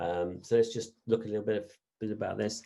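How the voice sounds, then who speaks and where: Audible room echo follows a man's dark, mellow voice. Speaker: business lecturer. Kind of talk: online lecture. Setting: online session. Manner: fast.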